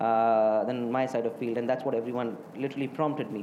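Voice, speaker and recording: A man's fairly quick speech in audible room echo. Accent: Indian. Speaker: hotelier. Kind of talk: interview. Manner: halting, many fillers.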